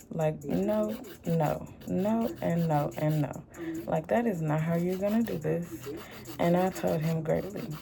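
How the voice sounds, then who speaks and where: A woman with an American accent and a very deep, low pitch speaks at a fairly slow pace with lively intonation, amid audible room echo. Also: very even loudness. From Houston, Texas. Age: 30s. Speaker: tarot reader and music producer. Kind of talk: casual vlog monologue.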